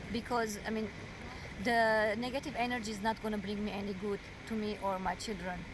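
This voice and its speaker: A woman with a non-native accent speaks in a fairly high, flat monotone. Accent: foreign. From overseas, Arabic- and Armenian-speaking region. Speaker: domestic violence survivor. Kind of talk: interview testimony. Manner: halting.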